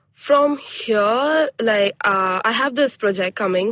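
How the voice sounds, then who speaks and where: In a dry, close sound with no echo, a woman speaks in a normal speaking voice, fairly high in pitch with ordinary pitch variation. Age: 20s. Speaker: pilot. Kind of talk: casual chat.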